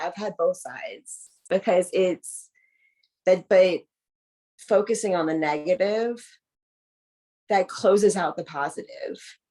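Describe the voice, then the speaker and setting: A woman with a Southern US accent at a medium pitch, with ordinary pitch variation and a fairly slow pace. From US South. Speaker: adoptee. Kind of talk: casual chat. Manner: animated.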